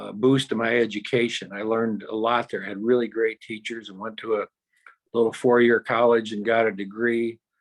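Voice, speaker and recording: A man is speaking. He has a US Midwestern accent. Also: big swings in loudness. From Michigan, US Midwest. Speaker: company founder and artist. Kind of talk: interview. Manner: halting.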